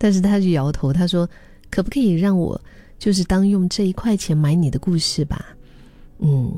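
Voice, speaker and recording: Her dark, mellow tone holds very even loudness as the woman speaks at a moderate pace. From Dali, Yunnan, China. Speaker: podcast host. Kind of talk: reflective monologue. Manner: casual, hesitant with fillers.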